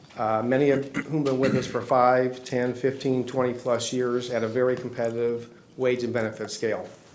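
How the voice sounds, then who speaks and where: A man talks at a medium pitch. Noticeable background noise and audible room echo fill the recording. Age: 60s. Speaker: business owner petitioner. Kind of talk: public hearing testimony. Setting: zoning board meeting. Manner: formal.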